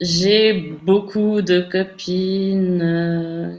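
The woman's intonation is monotone and flat, and her voice sits at a medium pitch. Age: 30s. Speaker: interview guest sharing personal sex life. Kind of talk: casual interview.

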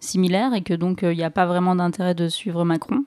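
Moderate-paced speech from a woman at mid pitch, the recording very clean and the background silent. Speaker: podcast co-host. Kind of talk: casual chat.

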